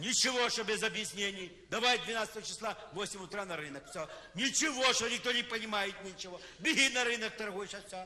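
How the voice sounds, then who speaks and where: A man's raised, projected voice with lively intonation, over light background noise. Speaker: comic performer. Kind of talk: satirical stage monologue. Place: stage.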